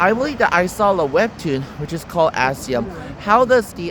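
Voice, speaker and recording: Against noticeable background noise, a man speaks at a moderate pace with very wide pitch swings. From South Korea. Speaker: YouTuber. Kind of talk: casual explainer monologue. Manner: halting, many fillers.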